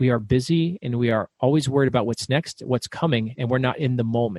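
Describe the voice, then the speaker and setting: The speech moves at a fairly quick pace with ordinary pitch variation, recorded dry and close with no echo. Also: man. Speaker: author and business owner. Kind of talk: podcast interview. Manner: fast; loud.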